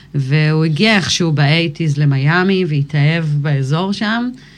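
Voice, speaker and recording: Very deep and low for a woman, her voice moves at a fairly slow pace. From Israel, Galilee (Kfar Vradim). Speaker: musician, rapper. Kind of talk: casual interview.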